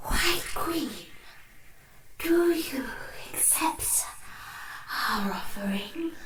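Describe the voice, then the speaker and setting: A high, put-on character voice with very wide pitch swings, a very slow pace and long, frequent pauses, over light background noise. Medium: audio drama. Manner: formal, stately, cautious.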